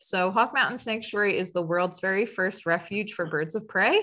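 A woman's voice with ordinary pitch variation, against a quiet background. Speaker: educator, webinar host. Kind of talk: webinar introduction. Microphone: webcam.

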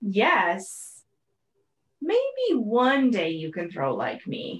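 This put-on character voice sits at a fairly high pitch and moves at a very slow pace. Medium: read story.

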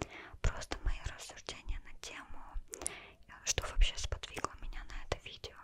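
At a moderate pace, a woman is whispering. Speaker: vlogger. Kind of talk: casual vlog chat. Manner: soft close-mic ASMR speech. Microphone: studio mic.

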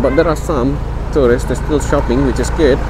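Noticeable background noise is present, yet the sound itself is dry with no echo. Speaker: tour guide. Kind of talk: casual vlog commentary. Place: street.

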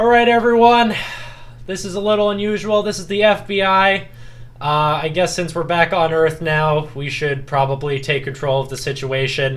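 Gruff, put-on character voice from a man, fairly high in pitch, with lively intonation, a moderate pace and light background noise. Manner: authoritative.

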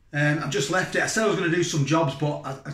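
Audible room echo surrounds a man's voice. His pitch varies in an ordinary way. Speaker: food reviewer. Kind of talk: casual vlog chat. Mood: cheerful, chatty. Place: kitchen. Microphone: phone near.

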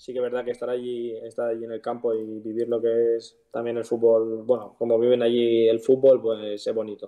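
Over a quiet background, a man speaks at a moderate pace in a flat monotone with hardly any pauses. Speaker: professional footballer; guest. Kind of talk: casual interview. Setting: live stream. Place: home room. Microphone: video call.

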